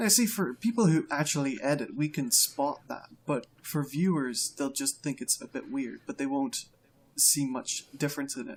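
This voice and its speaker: Fairly high male voice with a somewhat breathy quality. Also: lively intonation, moderate pace. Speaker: voice-over artist. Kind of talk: casual chat.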